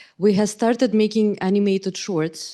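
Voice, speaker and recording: Woman with a Russian accent and a dark, mellow tone, at a fairly quick pace against a quiet background. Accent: clear Russian. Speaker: AI ethics researcher and government advisor. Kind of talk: panel discussion.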